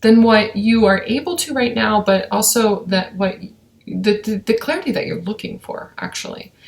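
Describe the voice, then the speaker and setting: With ordinary pitch variation, a woman talks in a somewhat breathy voice at a medium pitch and a moderate pace. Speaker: intuitive reader. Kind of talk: spiritual daily message. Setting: at home, kids watching TV. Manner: casual, filler-heavy.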